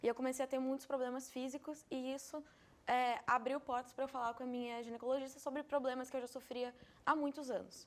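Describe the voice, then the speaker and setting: A woman speaks at a fairly quick pace in a high voice. Her intonation is monotone and flat. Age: 20s. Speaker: interviewee with fibromyalgia. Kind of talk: interview.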